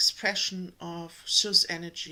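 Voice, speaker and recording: With a German accent, a woman talks at a very slow pace in a bright, sharp tone. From Germany. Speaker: energetic healer and spiritual channel host. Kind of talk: spiritual talk to camera. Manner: hesitant, many fillers.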